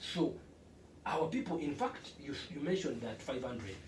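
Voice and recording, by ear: With audible room echo, a man speaks at a moderate pace and medium pitch, his slightly mellow tone carrying lively intonation.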